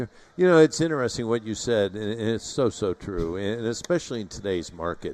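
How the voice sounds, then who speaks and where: Talking at a fairly quick pace with lively intonation, a man has an unremarkable speaking voice. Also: medium pitch for a man. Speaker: radio show host. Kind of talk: live radio show interview, home improvement.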